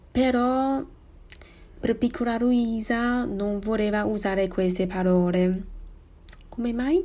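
A dark, mellow voice with a Chinese accent at a very slow pace, full of long, frequent pauses. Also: woman, fairly high pitch for a woman, ordinary pitch variation. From Taiwan. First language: Mandarin Chinese (speaking Italian). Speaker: podcaster. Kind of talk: personal monologue podcast. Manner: halting.

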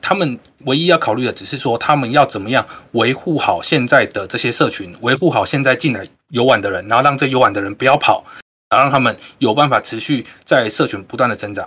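A bright, sharp male voice at medium pitch and a fairly quick pace. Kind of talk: casual group chat.

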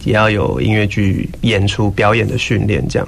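At a moderate pace, the speech comes through over noticeable background noise. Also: man. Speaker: musical theatre actor. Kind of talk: interview. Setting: studio.

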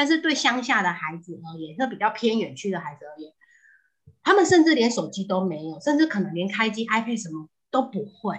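A somewhat breathy woman speaks at a medium pitch and a fairly quick pace, animated in tone and with very wide pitch swings. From southern Taiwan. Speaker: housewife and mother. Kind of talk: casual chat.

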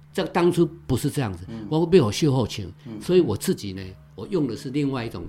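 A man's medium-pitched voice at a very fast pace, with very wide pitch swings. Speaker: songwriter. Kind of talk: casual interview chat. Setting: on location recording.

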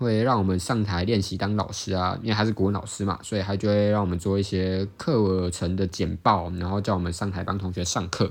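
This is a man's voice. His pitch is fairly low. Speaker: student competitive sport stacker and podcaster. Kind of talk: casual solo podcast monologue. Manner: fast.

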